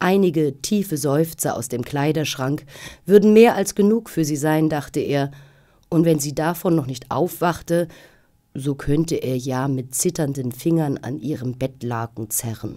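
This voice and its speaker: The voice is theatrical and dramatic, with a dark, mellow tone and lively intonation. It moves at a fairly slow pace over a quiet background. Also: woman. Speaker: actress reading audiobook. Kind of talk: audiobook narration of a gothic ghost story, read aloud. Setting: studio. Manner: theatrical, measured and suspenseful, with storyteller's dramatic emphasis. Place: studio.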